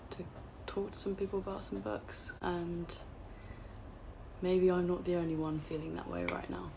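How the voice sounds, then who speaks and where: An English accent at a moderate pace, with audible room echo. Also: woman. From England, outside London. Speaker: booktuber. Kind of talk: casual vlog chat. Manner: hesitant, with fillers.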